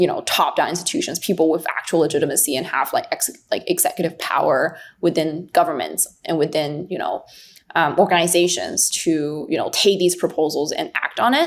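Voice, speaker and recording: A woman speaks at a fairly quick pace. She has a Chinese accent. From China. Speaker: investor. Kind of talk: podcast interview. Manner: halting, many fillers.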